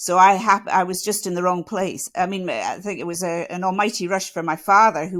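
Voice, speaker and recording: A woman with a Scottish accent speaks with fairly even intonation and hardly any pauses. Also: medium pitch for a woman, fairly quick pace. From Scotland. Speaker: chemistry professor. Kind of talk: interview.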